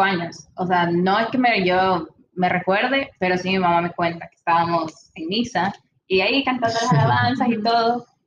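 A woman with an unremarkable speaking voice talks fairly slowly at a medium pitch, with ordinary pitch variation. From El Salvador. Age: 20s. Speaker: engineering student and singer. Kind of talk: casual interview.

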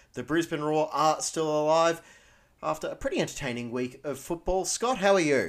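A man talks at a moderate pace with an Australian accent. His pitch is fairly high, with ordinary variation. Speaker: podcast host. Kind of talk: casual sports podcast chat.

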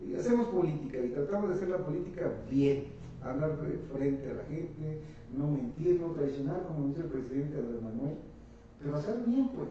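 A man with a fairly high pitch talks at a fairly quick pace with lively intonation, amid noticeable background noise and audible room echo. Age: 50s. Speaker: local politician. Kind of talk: political interview.

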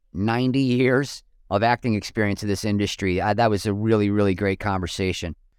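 Talking at a fairly quick pace, a man has a plain, everyday voice with an American accent and ordinary pitch variation. The recording is very clean, with a silent background. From Western New York. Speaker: podcast host, comedian. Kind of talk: casual interview.

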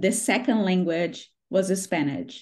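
A woman with a Brazilian accent at a medium pitch, ordinary pitch variation, and a quiet background. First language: Portuguese. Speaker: interviewer on a job platform's success team. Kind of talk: casual interview. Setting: video call interview. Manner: warm, enthusiastic.

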